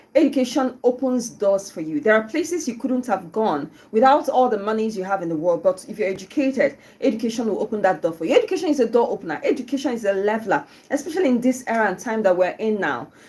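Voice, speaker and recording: A woman speaks very fast in a fairly high, somewhat breathy voice with very wide pitch swings. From Nigeria, Southeast (Igbo). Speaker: radio host. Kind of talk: live radio show talk. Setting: radio studio, live on YouTube. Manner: casual, chatty with fillers.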